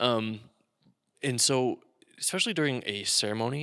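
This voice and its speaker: Mumbling at a fairly slow pace, a man with a medium pitch, ordinary pitch variation, and a bright, sharp tone is heard in a very clean recording with a silent background and a dry, close sound with no echo. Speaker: podcast host, wedding videographer. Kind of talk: casual chat.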